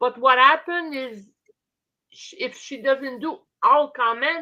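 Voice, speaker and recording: A woman speaks in a raised, projected voice with a bright, sharp tone and high pitch. Her pace is fairly slow, her pitch variation ordinary, and her loudness swings widely. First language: French. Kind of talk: casual chat. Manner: halting.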